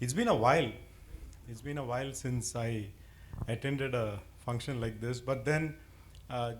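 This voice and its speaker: At a moderate pace, a man speaks at medium pitch with ordinary pitch variation, and audible room echo surrounds his voice. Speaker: keynote speaker, former IT executive. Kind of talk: keynote speech. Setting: small gathering with microphone. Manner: loud.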